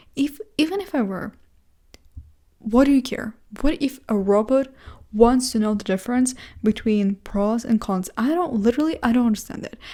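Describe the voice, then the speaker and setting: Long, frequent pauses break up a woman's high-pitched voice, which has a dark, mellow tone, lively intonation and a non-native accent. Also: moderate pace. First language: not English. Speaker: vlogger. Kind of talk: casual monologue vlog. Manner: halting, self-correcting.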